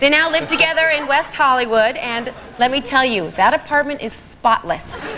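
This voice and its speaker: Raising and projecting her high-pitched voice, a woman speaks at a moderate pace with ordinary pitch variation. Noticeable background noise is present. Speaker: game show panelist.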